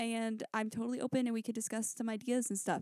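Dark, mellow tone from a woman with an American accent and a fairly high pitch, in dry, close sound with no echo. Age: 20s. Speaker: podcast host. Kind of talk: casual solo monologue. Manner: animated.

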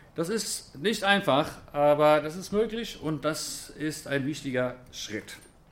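A man with a fairly high pitch speaks very slowly, with ordinary pitch variation. Audible echo fills the room. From Germany, then Israel from age 11. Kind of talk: lecture. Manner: casual, conversational.

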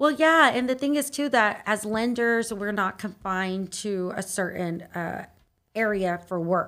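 A woman with a normal speaking voice and fairly high pitch talks at a fairly slow pace with lively intonation. The recording is very clean, with a silent background. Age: 30s. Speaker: mortgage lender. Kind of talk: casual interview.

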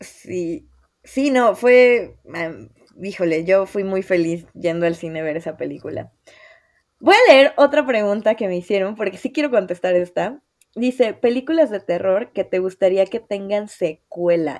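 A woman with a Mexican accent speaks at a fairly slow pace and a medium pitch. Her intonation is lively. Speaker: podcast host. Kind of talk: casual chat.

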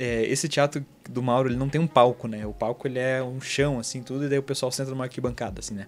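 A man speaks at a very fast pace with hardly any pauses. His medium-pitched voice stays monotone and flat. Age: 20s. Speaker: podcast host and mentor. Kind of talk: casual personal monologue. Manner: halting, many fillers.

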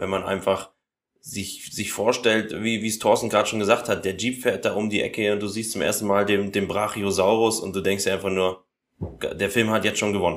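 A man with a fairly low pitch speaks at a fairly quick pace in a monotone, flat intonation. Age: 20s. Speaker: podcast guest. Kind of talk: casual chat.

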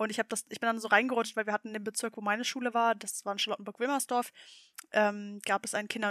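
The woman's voice sits fairly high in pitch, with fairly even intonation. The recording is very clean, with a silent background. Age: 20s. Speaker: state parliament member. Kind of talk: casual interview. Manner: hesitant with fillers.

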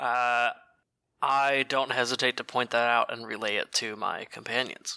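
Dry and close with no echo, the recording captures a man at a medium pitch and moderate pace. His tone is bright and sharp, his intonation monotone and flat. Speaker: tabletop roleplaying game player. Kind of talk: tabletop roleplaying game session.

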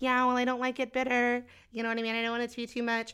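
A woman uses a put-on character voice that sounds whiny and high-pitched. She talks at a very fast pace with monotone, flat intonation. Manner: annoying, whiny.

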